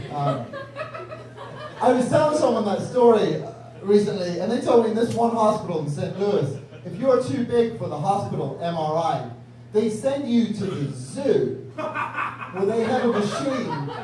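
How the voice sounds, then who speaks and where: The speaker talks at a fairly slow pace with very wide pitch swings. There is noticeable background noise and audible room echo. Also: man, high pitch for a man. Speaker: comedian. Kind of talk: stand-up. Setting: stage with audience.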